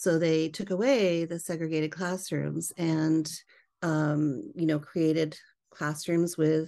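In a normal speaking voice with a Canadian accent, a woman talks at a fairly slow pace, her fairly low pitch held to a fairly even intonation against a quiet background. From Canada, British Columbia. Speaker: educator and author. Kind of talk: interview.

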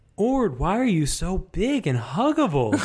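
In a put-on character voice, a man speaks high-pitched at a moderate pace with very wide pitch swings, on a very clean recording with a silent background. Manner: goofy, cartoonish.

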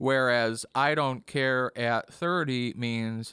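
A man speaks with an Upper Midwest accent in a bright, sharp tone. The recording is very clean with a silent background, and the sound is dry and close with no echo. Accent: Upper Midwest American. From US Midwest, Kenosha, Wisconsin. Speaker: drummer. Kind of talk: casual interview chat.

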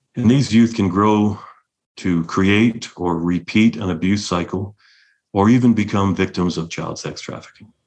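Using a plain, everyday voice, a man with a Canadian accent talks fairly slowly at a fairly low pitch, his intonation fairly even. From London, Ontario, Canada. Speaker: executive director of youth treatment center. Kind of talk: interview.

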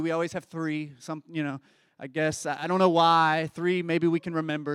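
A man with a Kentucky accent speaks fairly quickly in a fairly high pitch and a monotone, flat delivery, recorded very cleanly against a silent background with a dry, close sound and no echo. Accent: Kentucky Southern American. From Kentucky, US South. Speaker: pastor. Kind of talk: sermon.

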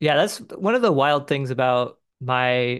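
Speaking at a moderate pace and medium pitch, a man with an American accent is heard against a quiet background. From Southern California. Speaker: painter and musician. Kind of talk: interview conversation. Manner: casual, filler-heavy with um and like.

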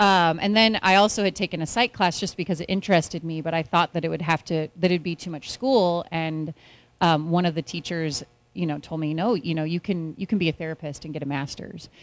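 A woman with an American accent has a plain, everyday voice, fairly low in pitch with ordinary variation. She talks fairly quickly on a very clean recording with a silent background. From California (Orville area). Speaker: marriage and family therapist. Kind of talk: interview on stage.

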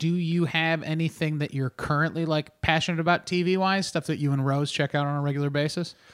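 A man speaks in an animated tone at a fairly quick pace with hardly any pauses, his fairly high pitch and very even loudness captured on a very clean recording with a silent background. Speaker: podcast host and comedian. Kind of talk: casual chat. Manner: animated, bantering.

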